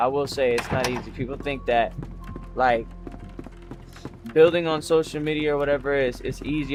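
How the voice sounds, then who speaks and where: Music plays in the background. A man with a fairly high pitch speaks at a fairly quick pace. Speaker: streamer. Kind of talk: casual livestream monologue. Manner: halting.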